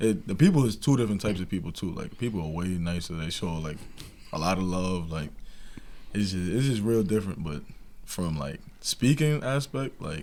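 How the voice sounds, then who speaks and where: In a New York accent, a man with a very deep, low pitch and a dark, mellow tone speaks at a fairly quick pace with lively intonation. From New York, Long Island. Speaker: college basketball player. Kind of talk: casual interview.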